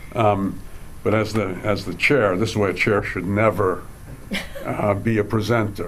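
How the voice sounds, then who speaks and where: Amid audible room echo and noticeable background noise, a man talks at a moderate pace, fairly low in pitch, with fairly even intonation. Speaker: professor and panel chair. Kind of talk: academic panel presentation. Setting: stage with audience. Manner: halting, many fillers.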